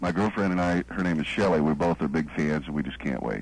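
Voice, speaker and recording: Talking at a very fast pace, a man uses a very deep, low pitch with ordinary pitch variation. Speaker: caller, small-market radio news worker. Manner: smooth.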